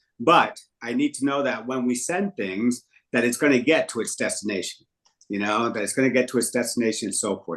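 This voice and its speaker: A man with a medium pitch talks at a very fast pace. His pitch shows ordinary variation. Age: 50s. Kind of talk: online group meeting. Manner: halting, repetitive.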